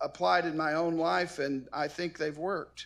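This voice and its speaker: A man with a high voice speaks at a moderate pace in a very clean recording with a silent background. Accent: American. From southern Illinois, rural. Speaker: commencement speaker. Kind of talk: commencement address.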